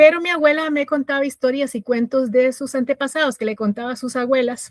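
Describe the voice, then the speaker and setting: This woman talks at a fairly quick pace with a Costa Rican accent. Her pitch is high and her intonation fairly even. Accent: Costa Rican, rolled-back R. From Costa Rica, Grecia de Alajuela. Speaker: podcast guest sharing life story. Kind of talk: personal testimony interview. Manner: halting, many fillers and repetitions.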